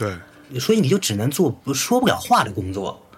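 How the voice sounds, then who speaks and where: Pitch swinging very widely, against noticeable background noise. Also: man. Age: 40s. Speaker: electronic musician. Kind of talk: casual chat.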